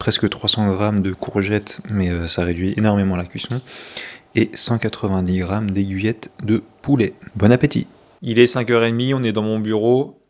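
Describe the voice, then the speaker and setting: At a moderate pace, a man with a fairly low pitch speaks with ordinary pitch variation and big swings in loudness. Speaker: fitness and nutrition vlogger. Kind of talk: casual vlog monologue. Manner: hesitant, many fillers; speaking softly.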